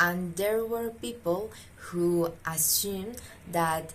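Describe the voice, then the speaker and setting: Over noticeable background noise and audible room echo, a woman with a fairly low pitch speaks at a very slow pace. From Pasto, southern Colombia. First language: Spanish. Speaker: student. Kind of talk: self-introduction monologue. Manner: drawling intonation; halting, many fillers.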